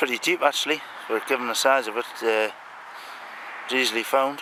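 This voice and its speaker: Against noticeable background noise, a man talks at a fairly quick pace in a monotone, flat way, with big swings in loudness. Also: medium pitch for a man. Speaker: metal detectorist. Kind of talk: outdoor hobby commentary. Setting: outdoors on a farm. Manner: mumbling.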